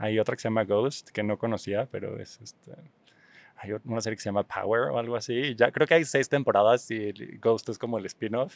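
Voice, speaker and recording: A man talks with medium pitch, ordinary pitch variation and an unremarkable speaking voice. His pace is moderate, while his loudness swings widely. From Mexico City. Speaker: visual artist and exhibition organizer. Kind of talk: casual interview.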